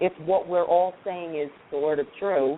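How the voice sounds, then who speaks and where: A woman speaks with a strong New York accent. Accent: thick New York. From New York, Queens. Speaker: recruiter. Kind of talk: panel discussion. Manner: animated.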